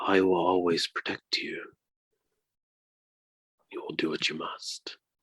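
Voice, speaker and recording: Whispering, a man puts on a character voice. He moves at a fairly slow pace. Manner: whispering, reassuring.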